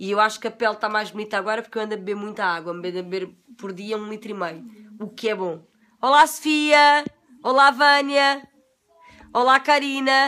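Fairly quick, lively speech from a woman in a European Portuguese accent, fairly high in pitch, bright and sharp in tone, with big swings in loudness. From Portugal. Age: 40s. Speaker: beauty vlogger. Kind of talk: casual livestream chat. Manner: animated. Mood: relaxed, confiding, sometimes laughing. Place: home room. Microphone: phone near.

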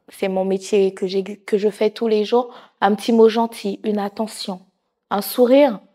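A woman speaks in a dark, mellow tone at a fairly high pitch. Her intonation is monotone and flat against a quiet background. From Haitian heritage. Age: 30s. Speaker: nursing assistant and charity president. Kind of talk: interview monologue. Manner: hesitant with many fillers. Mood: warm, sincere. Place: studio. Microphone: lapel.

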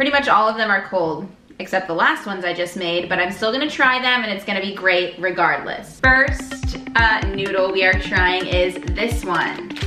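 Clear music plays in the background as a woman speaks at a moderate pace with ordinary pitch variation and hardly any pauses, with audible room echo. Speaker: food vlogger. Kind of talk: casual vlog chat. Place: kitchen. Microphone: camera far.

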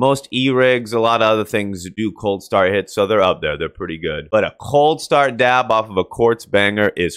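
Hardly pausing, a man talks at a moderate pace with ordinary pitch variation, the sound dry with no echo and the background quiet. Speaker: streamer. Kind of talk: casual commentary. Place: home room. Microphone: studio mic.

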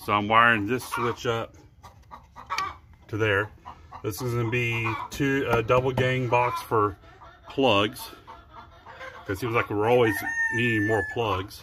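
Noticeable background noise accompanies a fairly slow delivery with long, frequent pauses. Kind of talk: casual vlog chat. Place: farm. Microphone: phone near.

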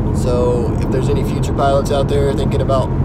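Against loud background noise, a man speaks at a fairly quick pace with a dry sound and no echo. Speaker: student pilot vlogger. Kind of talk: casual vlog chat. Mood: calm, upbeat. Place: car. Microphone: phone near.

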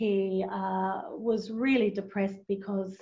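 A woman's dark, mellow, somewhat breathy voice at a medium pitch, in a monotone, flat intonation. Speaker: aged care executive; presenter. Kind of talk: webinar presentation. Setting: online webinar. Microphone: video call.

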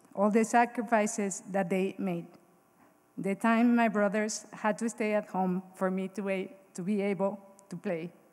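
Here is a woman with a Mexican accent. Her pace is moderate and her intonation fairly even. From Mexico. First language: Spanish. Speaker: Hall of Fame inductee, former college golfer. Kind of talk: acceptance speech, read from prepared text. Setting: stage with audience at ceremony. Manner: emotional, slightly halting. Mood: grateful, emotional. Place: hall. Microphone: podium.

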